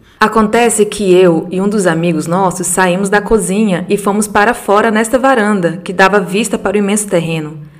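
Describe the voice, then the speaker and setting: Over noticeable background noise, a woman with a medium pitch speaks at a moderate pace, her intonation fairly even and her pauses hardly any. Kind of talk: reading aloud a ghost story sent by a listener, told in first person. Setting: solo podcast recording. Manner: measured, storyteller pacing with vivid detail.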